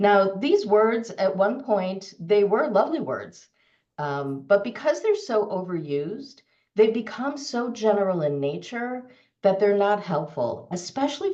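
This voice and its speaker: In a room with audible echo, a woman with a dark, mellow tone and medium pitch speaks fairly slowly, her pitch swinging very widely. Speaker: storytelling coach and consultant. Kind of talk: webinar presentation.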